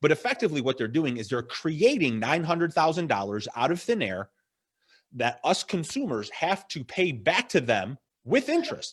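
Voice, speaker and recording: Animated in tone with vocal fry, the voice moves at a moderate pace with very wide pitch swings on a very clean recording with a silent background. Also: man, fairly high pitch for a man. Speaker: financial advisor. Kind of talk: casual interview chat. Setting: live video stream. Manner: loud, yelling when fired up.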